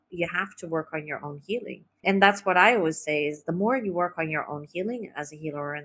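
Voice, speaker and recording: A woman speaks at a moderate pace, with a fairly low pitch and ordinary pitch variation. Hers is an unremarkable speaking voice. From California, US (raised in a cult there). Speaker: spiritual healer and therapist. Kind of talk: podcast interview. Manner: casual, with many fillers.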